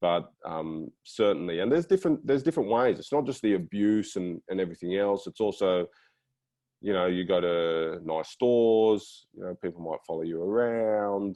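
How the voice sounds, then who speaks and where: With an Australian accent, a man talks at a moderate pace in a fairly low pitch with lively intonation. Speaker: former professional footballer. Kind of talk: panel discussion. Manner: hesitant, many repetitions.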